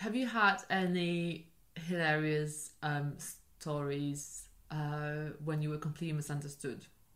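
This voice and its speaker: A woman with a very deep, low pitch speaks at a fairly slow pace with ordinary pitch variation. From Poland. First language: Polish. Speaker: podcast co-host. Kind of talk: casual chat.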